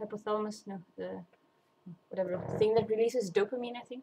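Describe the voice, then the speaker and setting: A woman talks at a fairly high pitch with fairly even intonation. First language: not English. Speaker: vlogger. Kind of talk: casual monologue. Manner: halting, many fillers and restarts.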